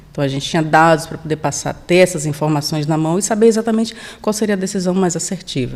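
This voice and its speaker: This woman speaks with a northeastern Brazilian accent. Her pitch moves in an ordinary way. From Brazilian Northeast, Salvador (Bahia). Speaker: sales manager. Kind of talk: podcast interview.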